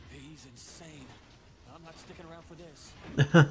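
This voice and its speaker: A man's put-on character voice, high in pitch, over light background noise. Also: moderate pace. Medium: short film. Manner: menacing.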